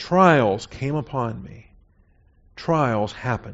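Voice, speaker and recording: With an American accent, a man talks at a medium pitch with lively intonation and vocal fry. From US Pacific Northwest (Seattle). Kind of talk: sermon.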